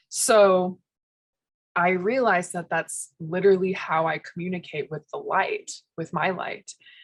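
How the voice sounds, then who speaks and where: With an unremarkable speaking voice, a woman talks at a fairly slow pace and a medium pitch, her intonation fairly even. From US, Spanish-speaking immigrant family. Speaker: spiritual podcast co-host. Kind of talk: casual chat.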